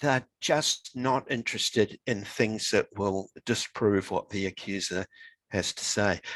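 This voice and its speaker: A man with a New Zealand accent speaks fairly slowly at a fairly low pitch. The sound is dry and close, with no echo. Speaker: author. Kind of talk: interview conversation.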